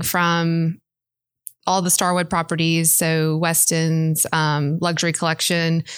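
Recorded very cleanly with a silent background, a woman with a Mississippi accent speaks at a fairly slow pace. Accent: US Southern (Mississippi). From Mississippi (Brandon, near Jackson). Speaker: interior designer. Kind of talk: interview.

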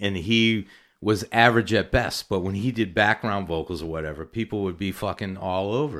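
Speaking at a fairly quick pace in a plain, everyday voice, a man with an American accent keeps a fairly low pitch with ordinary pitch variation. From Massachusetts (Natick, Boston area). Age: 40s. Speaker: recording studio owner. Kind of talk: casual chat. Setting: home studio.

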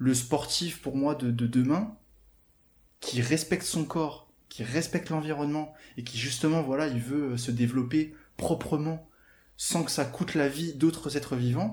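In a very clean recording with a silent background, a man with a fairly high, somewhat breathy voice speaks fairly slowly with ordinary pitch variation. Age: 20s. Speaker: online fitness coach. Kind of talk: interview, personal experience. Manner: hesitant, repeats words.

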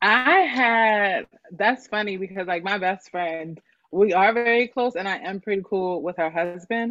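A woman speaks in a normal speaking voice at medium pitch, with ordinary pitch variation and a fairly slow pace, over a quiet background. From Philadelphia area, Pennsylvania. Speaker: guest. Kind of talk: casual chat.

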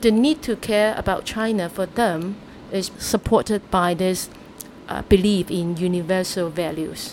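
A woman speaks at a medium pitch and a fairly slow pace, with ordinary pitch variation. There is noticeable background noise. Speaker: human rights activist. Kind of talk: interview.

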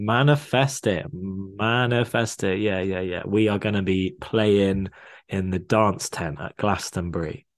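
Over a quiet background, a man with an unremarkable speaking voice talks at a fairly slow pace, his pitch fairly low and its variation ordinary. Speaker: podcast co-host. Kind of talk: casual chat.

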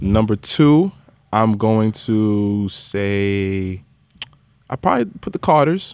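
Very slowly, a man speaks with a New York accent. His pitch is fairly low and varies in an ordinary way. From New York (Queens). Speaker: podcast host and music industry professional. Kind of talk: casual interview conversation.

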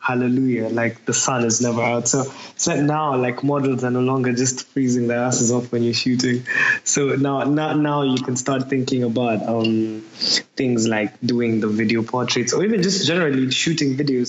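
This man talks at a moderate pace with a medium pitch and fairly even intonation. His loudness stays very even, and there is noticeable background noise. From Kenya, Nairobi. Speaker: photographer. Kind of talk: casual chat.

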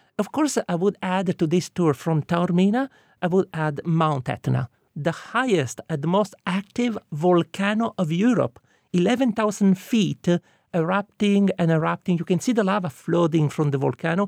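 At a fairly slow pace, a high-pitched man with an Italian accent speaks with ordinary pitch variation and very even loudness, in a dry, close sound with no echo on a very clean recording with a silent background. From Sicily, Italy. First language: Italian (Sicilian). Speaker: tour guide. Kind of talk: interview.

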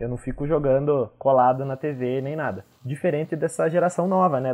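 A man with a fairly high pitch speaks in an ordinary speaking voice, showing ordinary pitch variation. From Brazil, Curitiba. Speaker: podcast host. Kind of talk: casual chat.

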